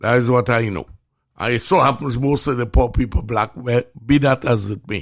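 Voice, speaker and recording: This voice carries an animated tone. It speaks with a Trinidadian accent. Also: man. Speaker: physician and show host. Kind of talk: casual chat.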